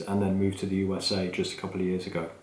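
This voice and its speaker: A man with an English accent talks at a very fast pace in a fairly low pitch. Audible room echo and noticeable background noise are present. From England. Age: 30s. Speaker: podcast host, business manager. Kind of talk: unscripted solo podcast talk. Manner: casual, off the cuff with fillers.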